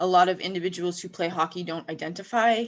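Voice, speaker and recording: Speaking at a very fast pace, a woman keeps a fairly low pitch and fairly even intonation. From Western Canada. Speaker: academic researcher. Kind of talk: panel discussion.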